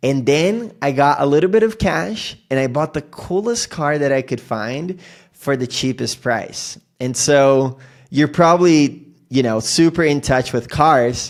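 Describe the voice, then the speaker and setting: A man's fairly high voice at a fairly slow pace, with lively intonation. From Brazil, moved to US at 13. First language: Portuguese. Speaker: podcast host. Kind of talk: casual interview chat.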